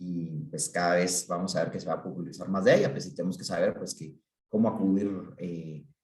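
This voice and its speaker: A man with a very deep, low voice talks at a fairly quick pace, his loudness swinging widely and his pitch varying in an ordinary way. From Guatemala. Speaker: psychiatrist. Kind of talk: talk to an online group. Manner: halting, many fillers.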